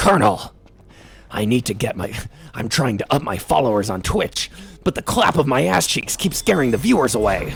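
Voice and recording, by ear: A man's put-on character voice at a medium pitch. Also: moderate pace.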